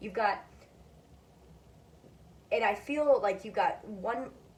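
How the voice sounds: A woman is heard speaking against noticeable background noise.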